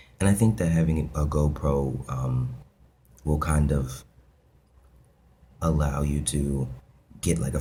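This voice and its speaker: With noticeable background noise behind him, a man talks in a very deep, low register, his intonation fairly even. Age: 20s. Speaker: video blogger. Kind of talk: casual vlog monologue. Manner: hesitant, many fillers.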